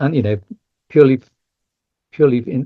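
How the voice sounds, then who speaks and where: Here a man speaks in a dark, mellow tone that is somewhat breathy. The background is quiet. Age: 60s. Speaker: yoga teacher and charity head. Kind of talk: podcast interview. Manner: halting, many fillers and repeats.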